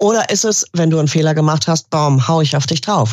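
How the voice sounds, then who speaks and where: A woman speaks with vocal fry. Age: 50s. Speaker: business coach and former property manager. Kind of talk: interview conversation.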